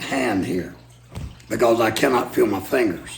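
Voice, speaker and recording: A man with an American accent speaks at a fairly slow pace and fairly low pitch, with ordinary pitch variation. Room echo and noticeable background noise are both audible. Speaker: preacher. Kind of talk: storytelling. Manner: halting with fillers.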